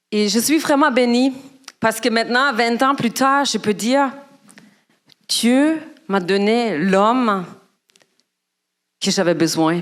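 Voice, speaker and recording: At a very slow pace with long, frequent pauses, a woman with a German accent speaks at a fairly high pitch with lively intonation and very even loudness. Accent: foreign accent (German). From Germany. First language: German (speaking French). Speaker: guest speaker at church. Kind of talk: sermon. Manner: halting.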